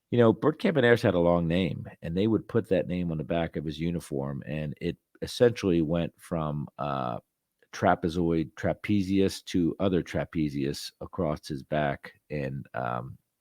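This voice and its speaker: With a Philadelphia accent, a man talks at a moderate pace in a very deep, low voice with lively intonation, the sound dry and close with no echo against a quiet background. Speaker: podcast host. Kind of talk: casual monologue. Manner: hesitant, many fillers.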